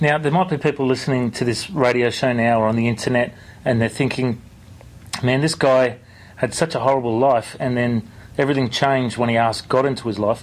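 A man with an unremarkable speaking voice talks at a fairly quick pace and medium pitch. His loudness is very even, and his intonation is fairly even. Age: 30s. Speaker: radio host and pastor. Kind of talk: interview.

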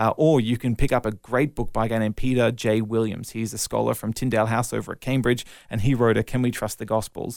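With hardly any pauses, a man rushes along at a very fast pace in a flat monotone at medium pitch, on a very clean recording with a silent background. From Australia (Melbourne, then Brisbane). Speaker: evangelist and apologist. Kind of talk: interview testimony.

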